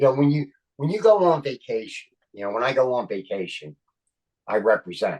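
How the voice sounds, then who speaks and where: Talking at a fairly quick pace with long, frequent pauses, a man with a Philadelphia accent holds a medium pitch and swings very widely in pitch. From Philadelphia, Kensington. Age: 60s. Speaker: actor and comedian. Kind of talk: casual chat. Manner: animated.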